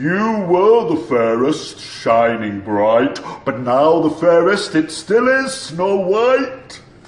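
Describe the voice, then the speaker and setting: Using a put-on character voice, a man speaks high and very slowly with very wide pitch swings and hardly any pauses. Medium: read story.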